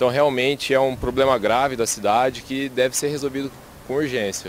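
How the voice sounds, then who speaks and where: A man speaks fairly quickly at a medium pitch with fairly even intonation. He has a plain, everyday voice. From Brazil, interior of São Paulo state. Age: 20s. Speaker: interviewee. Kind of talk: vox pop interview.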